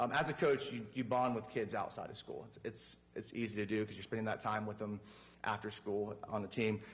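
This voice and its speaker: Talking at a fairly quick pace, a man is heard with audible echo from the room. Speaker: teacher and coach. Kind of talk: presentation to school board. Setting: public meeting in council chambers. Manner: fast.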